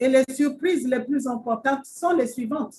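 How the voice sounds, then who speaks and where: A woman speaks at a high pitch and a fairly slow pace, with ordinary pitch variation. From Gabon. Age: 60s. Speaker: retired civil servant and network marketer. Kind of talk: presentation to online audience. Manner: formal.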